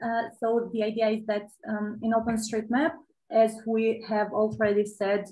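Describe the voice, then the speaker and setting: Somewhat breathy and fairly high in pitch, a woman speaks at a fairly slow pace with monotone, flat intonation. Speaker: OpenStreetMap expert speaker; host or moderator of online talk. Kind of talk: Q&A answer. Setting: video call. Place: home room. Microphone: webcam.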